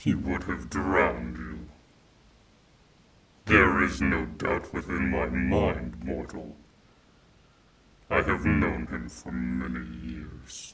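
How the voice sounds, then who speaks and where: A man's put-on character voice, very deep and raspy, at a very slow pace with long, frequent pauses. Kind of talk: ASMR roleplay. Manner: possessive, menacing yet tender, regal.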